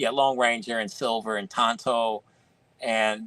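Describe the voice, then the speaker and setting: In a dry, close recording with no echo, a man speaks at a fairly slow pace. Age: 50s. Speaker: toy collector. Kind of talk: casual chat. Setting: live stream.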